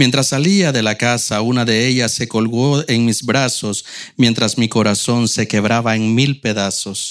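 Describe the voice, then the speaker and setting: A man uses an ordinary speaking voice with medium pitch and ordinary pitch variation. He goes at a fairly slow pace, and his loudness stays very even. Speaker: church member reading poems. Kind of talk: reading aloud.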